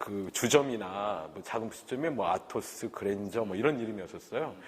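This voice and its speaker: Using an ordinary speaking voice, a man talks at a moderate pace. His pitch is fairly low, with ordinary pitch variation. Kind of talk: oral history interview. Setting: recorded interview on camera.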